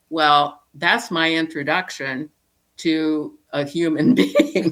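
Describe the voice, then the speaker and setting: A woman speaks at a very slow pace with an American accent. Her very deep, low pitch moves with lively intonation. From US Midwest, Indiana. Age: 70s. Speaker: psychologist. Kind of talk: interview conversation; personal storytelling.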